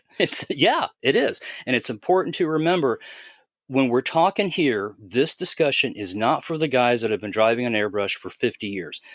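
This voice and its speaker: This man has an unremarkable speaking voice at medium pitch and a moderate pace, heard in a dry, close sound with no echo. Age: 60s. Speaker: airbrushing expert guest on a podcast. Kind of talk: casual explanatory podcast talk. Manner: conversational, with frequent repetitions and fillers.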